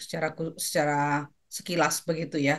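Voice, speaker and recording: A moderate pace against a quiet background. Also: woman. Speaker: course moderator. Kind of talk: closing remarks. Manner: soft-spoken.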